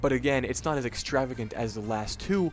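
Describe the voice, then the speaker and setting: Music plays in the background. The talking moves at a fairly quick pace. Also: man. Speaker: online video host ranking products. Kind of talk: casual product ranking commentary. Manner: fast; hesitant with fillers.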